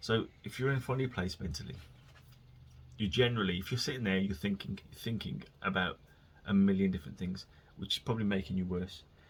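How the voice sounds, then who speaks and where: A man with a West Midlands accent talks at a very fast pace but with long, frequent pauses. His voice is somewhat breathy and fairly low in pitch. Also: ordinary pitch variation. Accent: local West Midlands. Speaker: podcast host. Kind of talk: casual solo monologue. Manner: rambling, informal.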